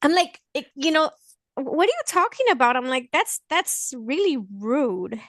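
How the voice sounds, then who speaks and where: A woman with a slight Mexican accent speaks fairly slowly in an animated tone at a high pitch, her voice swinging very widely, in a dry, close sound with no echo. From Mexico (Veracruz), then Los Angeles from age five. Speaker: blind guest sharing experiences and recipes. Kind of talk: casual interview chat.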